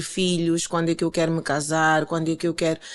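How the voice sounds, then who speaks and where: The background is quiet as a woman talks with a fairly low pitch. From Mozambique, Maputo. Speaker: life coach and motivational speaker. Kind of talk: interview conversation.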